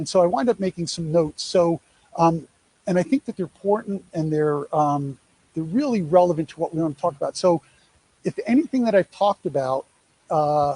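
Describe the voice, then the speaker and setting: A high-pitched man with a New York accent talks at a fairly quick pace in a dry, close sound with no echo. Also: ordinary pitch variation. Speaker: presenter on athlete name-image-likeness deals. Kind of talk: presentation to an audience. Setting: live event at a sports field, streamed on social media. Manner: conversational, many fillers.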